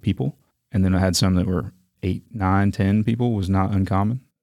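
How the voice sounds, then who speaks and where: Speaking at a very fast pace with a very deep, low pitch, a man with an American accent keeps a fairly even intonation, captured on a very clean recording with a silent background. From North Carolina, Raleigh. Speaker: nature center CEO. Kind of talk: interview.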